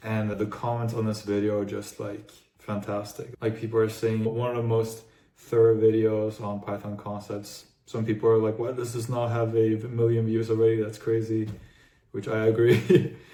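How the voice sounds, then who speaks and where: A man with an American accent speaks at medium pitch and a moderate pace, his intonation monotone and flat. Audible room echo surrounds the voice. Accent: sounds American. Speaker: YouTuber and AI engineer. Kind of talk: casual explainer talk. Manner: casual, with fillers and false starts.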